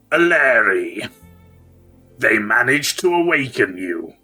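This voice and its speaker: A booming, put-on character voice from a man, fairly high-pitched and fairly slow, with faint music in the background. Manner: commanding.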